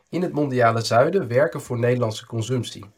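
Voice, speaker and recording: The man speaks at a moderate pace with a medium pitch. His voice is somewhat breathy. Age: 30s. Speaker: economist and author. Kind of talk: interview monologue.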